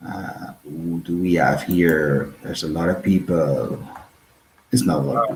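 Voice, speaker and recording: Against noticeable background noise, a man with a Portuguese accent speaks slowly, fairly so, in a very deep, low pitch with fairly even intonation. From northern Portugal (Porto). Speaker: podcast host. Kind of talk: casual chat. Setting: live stream.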